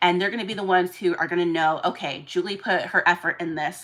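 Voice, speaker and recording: Very fast and animated, a woman speaks at medium pitch with ordinary pitch variation. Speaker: live-streaming doll seller and event organizer. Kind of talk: casual live stream chat.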